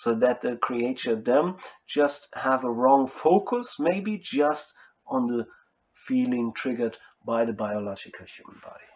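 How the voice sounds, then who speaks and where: At a fairly slow pace, a man with a non-native accent speaks at a medium pitch, with lively intonation and big swings in loudness. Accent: non-native English speaker. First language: German. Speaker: spiritual self-styled speaker. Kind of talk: monologue to camera. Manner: halting.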